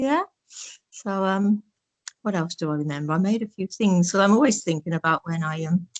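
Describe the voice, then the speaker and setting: Moving at a fairly quick pace with long, frequent pauses, a woman speaks with lively intonation in a dry, close sound with no echo. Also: medium pitch for a woman. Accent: East Midlands. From Northampton, England. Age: 70s. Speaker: oral history interviewee. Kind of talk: reminiscing interview.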